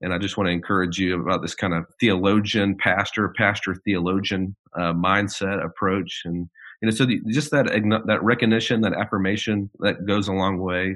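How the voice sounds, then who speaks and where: Talking at a moderate pace with fairly even intonation, a man with an American accent has a fairly low pitch and an unremarkable speaking voice. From Birmingham, Alabama (US South). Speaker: theology professor and pastor. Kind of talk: casual interview conversation.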